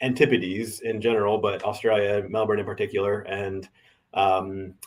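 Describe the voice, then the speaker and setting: In a very clean recording with a silent background, a man speaks in a monotone with flat intonation. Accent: American. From US Midwest, Indianapolis. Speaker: tech professional. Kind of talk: casual interview.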